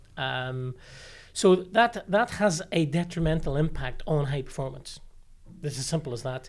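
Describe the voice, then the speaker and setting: Recorded very cleanly against a silent background, the voice carries a Northern Irish accent at a moderate pace. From Northern Ireland, Limavady. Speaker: sports high performance director. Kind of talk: podcast interview. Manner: hesitant, many fillers and repeated words.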